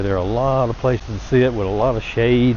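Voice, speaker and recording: Over noticeable background noise, a man with a strong Southern US accent talks in a relaxed tone at a moderate pace. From US South, small town. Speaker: travel vlogger. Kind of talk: walking tour narration. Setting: outdoors. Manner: casual, relaxed.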